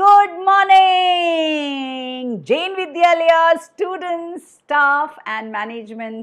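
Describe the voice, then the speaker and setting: A woman speaks at an extremely high pitch in a sing-song way. Her pace is very slow, yet she hardly pauses. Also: lively intonation. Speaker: storyteller. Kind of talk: children's storytelling session. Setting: online video call. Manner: singsong.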